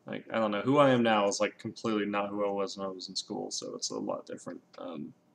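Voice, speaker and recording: A man with an American accent talks at a very fast pace, his loudness swinging a lot over noticeable background noise. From US West Coast, Los Angeles. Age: 20s. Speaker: YouTuber. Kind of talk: casual monologue vlog. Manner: rambling, hesitant with many ums.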